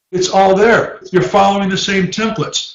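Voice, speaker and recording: In a room with audible echo, a man talks in an animated tone at a high pitch. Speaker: professor. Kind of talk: lecture.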